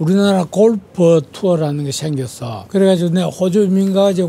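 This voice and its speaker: Here a man talks at a high pitch, varying it in an ordinary way. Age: 80s+. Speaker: retired travel agent. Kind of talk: street interview answer.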